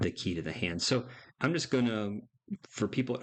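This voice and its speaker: Over a quiet background, a man speaks in an ordinary speaking voice at a medium pitch with ordinary pitch variation. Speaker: bridge player and tutorial presenter. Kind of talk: tutorial. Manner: casual.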